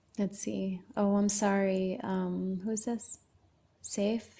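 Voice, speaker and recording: At a very slow pace, a woman speaks in a medium pitch with a dark, mellow, somewhat breathy tone. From Lebanon. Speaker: livestreamer. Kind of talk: casual chat.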